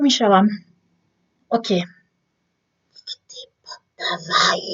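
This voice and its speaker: Speaking in a strong French accent, a woman talks at a fairly slow pace with a medium pitch. Her voice is somewhat breathy, with ordinary pitch variation. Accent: strong French accent in Polish. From France. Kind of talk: casual talk to camera.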